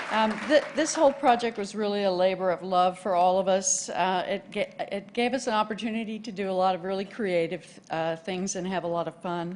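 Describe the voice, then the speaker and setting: This woman speaks with a Texas accent. Her pitch sits at a medium level. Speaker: award winner, co-op communicator. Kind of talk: acceptance speech. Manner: halting, many fillers.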